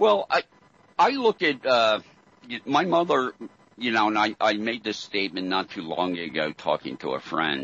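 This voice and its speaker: This man's voice is fairly low and carries some vocal fry. His pitch swings very widely at a moderate pace. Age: 60s. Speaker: conspiracy talk guest. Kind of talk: interview.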